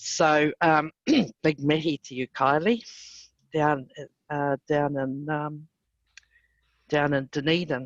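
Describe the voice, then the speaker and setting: Very deep and low in pitch, a woman's voice moves very slowly with fairly even intonation and long, frequent pauses, recorded dry and close with no echo. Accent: New Zealand. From New Zealand, east coast (Mahia). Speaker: Māori tourism leader. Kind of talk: panel discussion.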